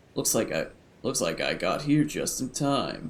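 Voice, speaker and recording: In a gruff, put-on character voice, a man speaks at a moderate pace. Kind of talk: comic overacting of a romance novel. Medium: game stream. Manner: reassuring.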